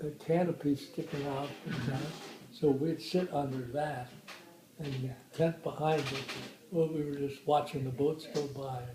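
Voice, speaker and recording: Against noticeable background noise, a man with a fairly high pitch speaks fairly slowly in fairly even intonation. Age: 80s+. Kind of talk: interview answer. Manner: slow, hesitant.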